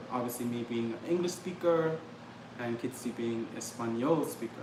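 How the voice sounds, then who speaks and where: A man with an American accent talks at a fairly quick pace in a medium pitch with ordinary pitch variation, with noticeable background noise and audible room echo. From Trinidad and Tobago. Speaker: travel vlogger. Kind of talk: casual livestream chat. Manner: fast.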